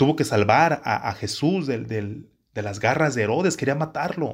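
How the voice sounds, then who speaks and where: Somewhat breathy, a man's voice comes through on a very clean recording with a silent background. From Mexico, Jalisco. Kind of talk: religious teaching talk. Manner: halting, with repetitions.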